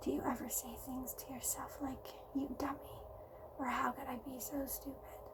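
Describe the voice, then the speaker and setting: Someone soft-spoken whispers in a gentle tone against noticeable background noise. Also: woman. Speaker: ASMR video creator. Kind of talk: ASMR personal attention, soft-spoken affirmations. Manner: soft-spoken, gentle, whispering.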